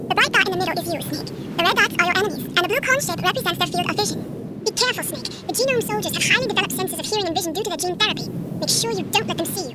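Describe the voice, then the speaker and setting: A woman uses a put-on character voice at extremely high pitch and a very fast pace. Loud background noise is present. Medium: machinima. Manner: bright, friendly.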